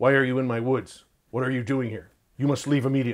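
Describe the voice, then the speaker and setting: Using a put-on character voice, a man rattles along at a very fast pace with a medium pitch. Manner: aggressive, assertive, protective.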